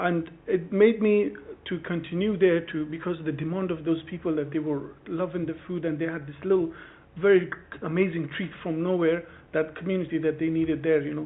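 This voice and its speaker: Talking at a fairly quick pace, a man uses a high pitch and fairly even intonation. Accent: non-native. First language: not English. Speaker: street food trader applying for a licence. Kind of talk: formal hearing testimony. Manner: halting.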